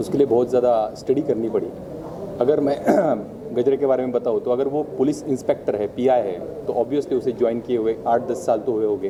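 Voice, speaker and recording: A man with a Marathi accent at medium pitch, ordinary pitch variation, and a moderate pace, over noticeable background noise. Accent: Marathi accent in Hindi. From Bhor, Pune, Maharashtra, India. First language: Marathi (speaking Hindi). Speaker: actor. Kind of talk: press event speech.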